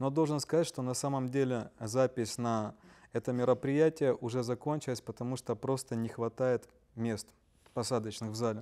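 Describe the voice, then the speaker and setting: A man's medium-pitched voice, dark and mellow in tone, at a moderate pace with fairly even intonation. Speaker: webinar moderator. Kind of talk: reading listener questions. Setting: online livestream.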